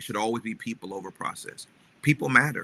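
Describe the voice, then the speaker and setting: A man speaks at medium pitch with ordinary pitch variation and a bright, sharp tone. The recording is dry and close, with no echo. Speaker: pastor and leadership podcast host. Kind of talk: motivational podcast talk. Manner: emphatic, repetitive.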